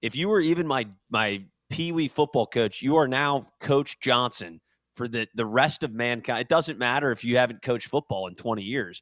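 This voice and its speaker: A man with an unremarkable speaking voice, medium in pitch, at a moderate pace with ordinary pitch variation, in a dry, close sound with no echo. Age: 30s. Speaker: podcast co-host. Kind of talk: casual chat. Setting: video call.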